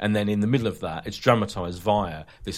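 A man with a fairly low pitch and a playful, animated tone. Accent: British. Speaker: podcast host. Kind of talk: casual chat about TV. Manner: playful banter, animated.

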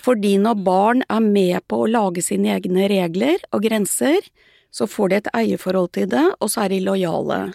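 A woman talks at a moderate pace in a medium pitch, her tone dark and mellow with lively intonation. The sound is dry and close, with no echo. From Sandefjord, Norway. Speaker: parenting author. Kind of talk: interview.

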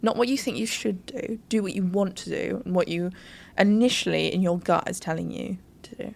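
A woman with a British accent, medium pitch, ordinary pitch variation, vocal fry and a fairly quick pace. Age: 20s. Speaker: social media manager and podcast co-host. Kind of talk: casual chat. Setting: studio, on a sofa. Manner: animated.

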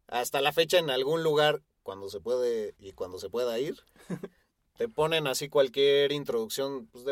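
A man with a Mexican accent, medium in pitch, at a fairly slow pace with lively intonation. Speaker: rock podcast co-host. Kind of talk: casual chat.

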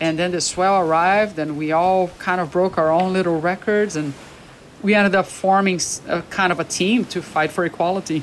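Speaking at a moderate pace, a woman with a Portuguese accent uses a fairly low pitch and fairly even intonation. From Brazil. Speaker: big wave surfer and paramedic. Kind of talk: interview.

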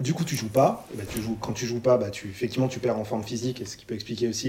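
With noticeable background noise, a man talks at a very fast pace and medium pitch. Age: 30s. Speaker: football fan co-host. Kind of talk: casual chat.

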